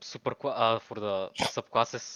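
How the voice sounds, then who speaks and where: A man with a Bulgarian accent, at a very slow pace, in a monotone, flat intonation. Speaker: gamer, caller. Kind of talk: Q&A question. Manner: halting.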